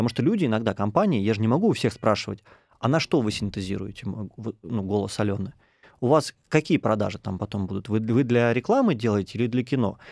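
A man's plain, everyday voice at medium pitch, fairly quick, with ordinary pitch variation. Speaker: podcast host. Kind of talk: interview. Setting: studio.

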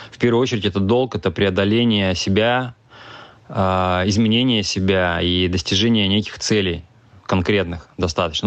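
This man has an unremarkable speaking voice, fairly low in pitch. He talks at a moderate pace with fairly even intonation. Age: 40s. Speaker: businessman. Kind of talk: recorded monologue.

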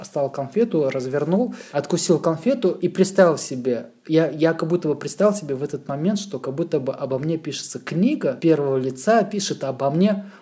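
With hardly any pauses and noticeable background noise, a man speaks at a moderate pace in a fairly high pitch with lively intonation. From Moscow region, Russia. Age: 30s. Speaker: graphic designer. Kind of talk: casual chat.

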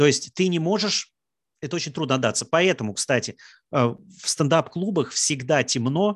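Lively intonation from a man at a fairly high pitch, with a moderate pace and long, frequent pauses, in a dry, close sound with no echo and a quiet background. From Russia, Samara. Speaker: stand-up comedian. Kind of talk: casual talk, online Q&A.

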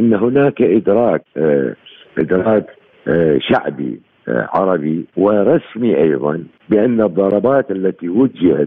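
A man's fairly low voice with very wide pitch swings at a very slow pace, broken by long, frequent pauses. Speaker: political science professor. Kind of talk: radio interview. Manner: halting, many pauses.

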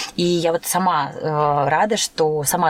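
This is a woman speaking. Her pitch is fairly low. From Turkmenistan. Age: 30s. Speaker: dance teacher. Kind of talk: casual chat. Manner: animated.

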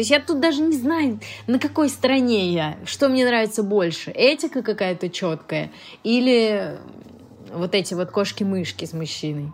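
Moderate-paced speech from a woman, fairly high in pitch, her pitch swinging very widely. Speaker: actress. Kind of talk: casual chat.

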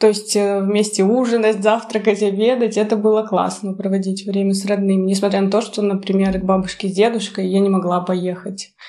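A woman talks at a medium pitch and a moderate pace, her tone dark and mellow. Her intonation stays monotone and flat. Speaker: journalism graduate student. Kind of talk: casual chat.

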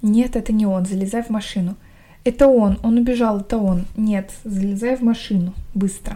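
The voice is somewhat breathy, with a dark, mellow tone. Intonation is fairly even and the pace is moderate. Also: woman, fairly high pitch for a woman. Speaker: podcast host reading a novel aloud. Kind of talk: reading aloud; casual chat. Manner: no character voices in dialogue.

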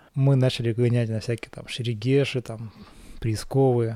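A man's dark, mellow voice at medium pitch, flat and monotone, at a moderate pace. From Perm region, Russia. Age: 30s. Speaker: product designer. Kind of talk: casual chat. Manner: halting.

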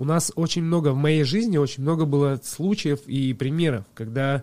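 Here a man talks in a fairly high register. The tone comes across dark and mellow. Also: very clean recording, silent background. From Russia, village near Krasnoyarsk. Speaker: chef and cooking video blogger. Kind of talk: casual chat.

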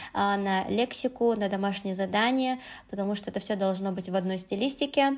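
A woman with an ordinary speaking voice, fairly high in pitch, at a moderate pace on a very clean recording with a silent background. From Uzbekistan, Tashkent. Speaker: Korean language teacher. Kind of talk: casual chat.

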